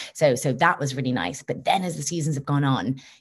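With a quiet background, a woman speaks at a moderate pace in a very deep, low voice. She sounds somewhat breathy, and her pitch varies in an ordinary way. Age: 20s. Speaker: actress. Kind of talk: interview. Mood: warm, upbeat. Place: home room. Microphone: video call.

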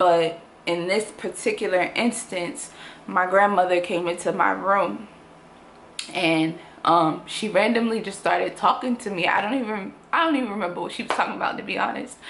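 At a moderate pace, a woman speaks with a medium pitch and ordinary pitch variation over light background noise. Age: 20s. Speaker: YouTuber. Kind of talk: personal vlog testimony. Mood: earnest, serious, reflective. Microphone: phone near.

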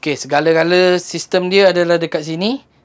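The man's speech unfolds at a moderate speed.

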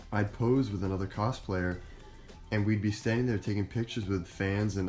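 Over faint background music, a man talks at a fairly quick pace in a fairly low pitch with monotone, flat intonation. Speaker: cosplayer vlogger. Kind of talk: casual vlog chat. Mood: happy, reflective. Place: home room. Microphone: phone near.

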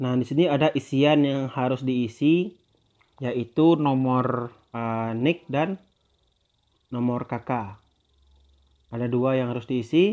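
At a very slow pace, a man of medium pitch talks with ordinary pitch variation and long, frequent pauses. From Indonesia, West Sumatra. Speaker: YouTuber. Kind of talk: tutorial.

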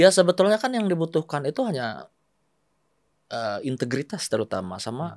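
A man at a fairly quick pace, with very wide pitch swings and big swings in loudness, against a quiet background. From West Java (Bandung), Indonesia; West Java, Indonesia. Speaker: politician, former journalist. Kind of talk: casual interview. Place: studio. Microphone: studio mic.

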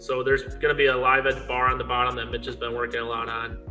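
A man's voice with faint music in the background. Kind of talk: interview answer. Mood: relaxed, modest. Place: garage. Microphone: phone near.

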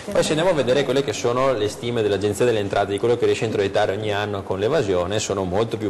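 Light background noise can be heard. A man speaks with a fairly low pitch and ordinary pitch variation. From Veneto, Italy. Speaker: regional politician. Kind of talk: TV political debate. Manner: halting, repeats words. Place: studio. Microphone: lapel.

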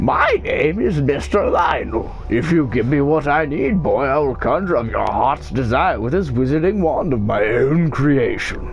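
Over clear background music, a man does a put-on character voice with cackling, at a moderate pace. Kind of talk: theatrical. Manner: mad, cackling.

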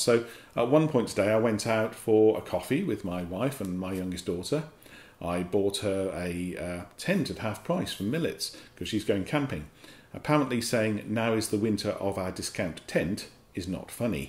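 In an English accent, a man at medium pitch makes very wide pitch swings, and audible room echo surrounds his voice. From England. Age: 50s. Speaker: company director and vlogger. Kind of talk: casual vlog monologue. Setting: home office. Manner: hesitant, with fillers. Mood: wry, good-humoured. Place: office. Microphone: camera far.

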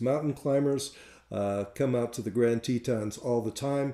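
Over a quiet background, a dark, mellow voice speaks at a moderate pace with audible room echo. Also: man. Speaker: tour director. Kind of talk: webinar presentation. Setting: online webinar. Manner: enthusiastic. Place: home room. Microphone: webcam.

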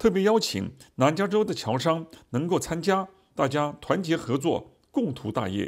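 In a very clean recording with a silent background, a man with a fairly high pitch speaks at a fairly slow pace, using vocal fry and very wide pitch swings. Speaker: news reporter. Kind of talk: news reading.

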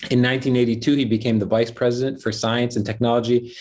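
The background stays quiet. Against it, a man speaks at a fairly quick pace. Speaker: event host. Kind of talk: formal introduction of guest. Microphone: earbuds.

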